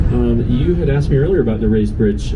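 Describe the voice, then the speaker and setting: Amid noticeable background noise and audible room echo, a man speaks fairly quickly. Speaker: tour guide. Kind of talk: guided tour commentary. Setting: outdoors on a river boat. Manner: fast.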